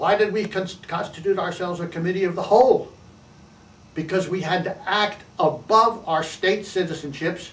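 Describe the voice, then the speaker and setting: A man's high-pitched voice at a fairly slow pace, with ordinary pitch variation and audible room echo. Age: 80s+. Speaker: activist and author. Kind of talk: monologue to camera. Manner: halting, frequent restarts.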